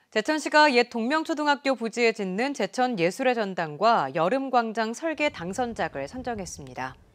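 Over a quiet background, a woman talks at a moderate pace with hardly any pauses. Her fairly high pitch swings very widely. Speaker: news anchor. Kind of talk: news reading. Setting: studio. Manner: formal.

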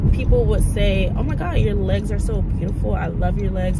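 The sound is dry and free of echo. A woman talks through loud background noise. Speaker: vlogger. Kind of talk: casual vlog chat. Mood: reflective, earnest. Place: car. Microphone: phone near.

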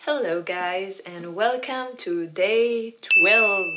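A woman speaks over noticeable background noise. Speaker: travel vlogger. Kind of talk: casual vlog chat. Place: home room. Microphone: phone near.

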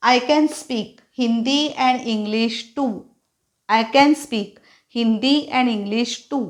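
Her intonation fairly even, a woman speaks with a high pitch. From Maharashtra, India. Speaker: English teacher. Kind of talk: tutorial.

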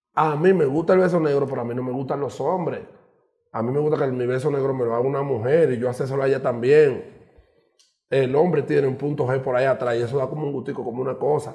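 Over a quiet background, a man with a Dominican accent speaks very fast. His voice is fairly high, somewhat breathy, and dark and mellow in tone. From Dominican Republic. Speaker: radio host and social media personality; interview guest. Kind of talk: casual chat. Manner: animated. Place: studio.

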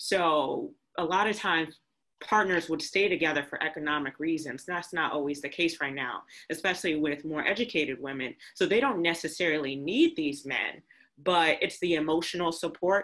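A woman with a normal speaking voice talks at a moderate pace, her pitch fairly low and its variation ordinary, against a quiet background. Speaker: event co-organizer; discussion host or panelist. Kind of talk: panel discussion. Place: home room. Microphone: video call.

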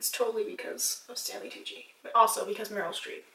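A woman speaks at a high pitch. There is audible room echo. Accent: Canadian. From Canada. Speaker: beauty vlogger. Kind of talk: casual chat. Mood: relaxed, upbeat. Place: home room. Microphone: camera far.

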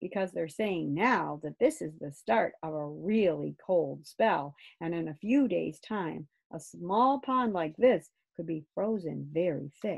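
A woman uses a put-on character voice, fairly low and fairly slow, with lively intonation. Her tone is slightly mellow, with vocal fry and a slightly husky edge.

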